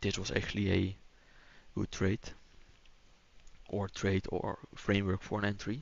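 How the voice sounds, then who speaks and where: A man with a Dutch accent speaks at a fairly low pitch. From Netherlands. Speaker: day trader streamer. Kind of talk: live trading stream commentary. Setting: live stream. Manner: hesitant, with fillers.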